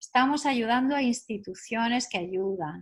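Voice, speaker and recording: A somewhat breathy, fairly high-pitched woman with a Spanish accent. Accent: Spanish (Spain). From Spain. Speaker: neuropsychologist. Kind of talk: radio interview.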